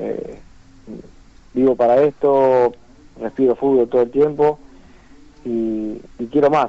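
Speaking at a very slow pace with long, frequent pauses, a man keeps a medium pitch in a monotone, flat intonation. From Argentina, Santa Isabel (Santa Fe). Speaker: professional footballer. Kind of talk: phone interview. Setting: phone call.

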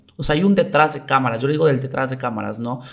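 With fairly even intonation and a medium pitch, a man talks in an unremarkable speaking voice. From Mexico, Veracruz (Coatzacoalcos). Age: 30s. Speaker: taekwondo athlete and coach. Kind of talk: casual interview chat.

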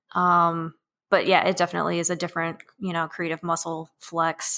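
The tone is bright and sharp, with monotone, flat intonation. The recording is very clean, with a silent background. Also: woman. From northern Illinois, Rockford. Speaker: artist and maker. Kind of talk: casual chat.

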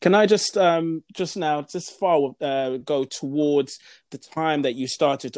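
Spoken at a fairly slow pace with ordinary pitch variation, the voice sounds dry and close with no echo, in a very clean recording against a silent background. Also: man. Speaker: podcast host. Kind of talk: interview. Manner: enthusiastic.

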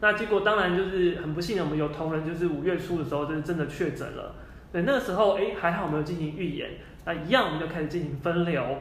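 Loud and fast, a man with a high pitch speaks at a very fast pace, with audible room echo and noticeable background noise. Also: ordinary pitch variation. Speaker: software engineer. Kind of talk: interview.

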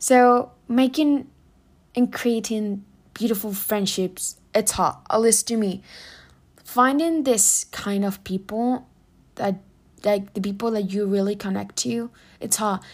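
A woman with a Spanish accent speaks at a very slow pace and a fairly high pitch, with ordinary pitch variation and long, frequent pauses. The recording is very clean, with a silent background. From Spain. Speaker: podcast host. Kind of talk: casual monologue.

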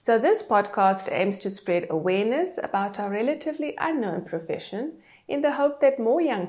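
Her pitch swinging very widely, a woman speaks at a moderate pace with hardly any pauses. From South Africa, Cape Town. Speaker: podcast host, social impact consultant. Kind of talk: scripted introduction monologue.

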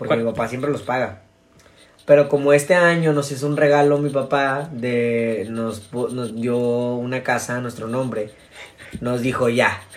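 A man with a Mexican accent speaks at a fairly slow pace, his medium pitch held in fairly even intonation. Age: 20s. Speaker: podcast host. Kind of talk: casual chat.

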